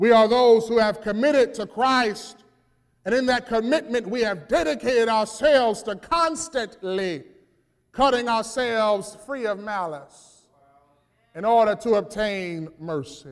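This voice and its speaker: Speaking at a fairly slow pace, a man uses an animated tone and a high pitch. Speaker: preacher. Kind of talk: sermon, preacher in full flow with call-and-response. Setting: church. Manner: animated, loud, exhorting the congregation; rhythmic, emphatic, punchy repetition.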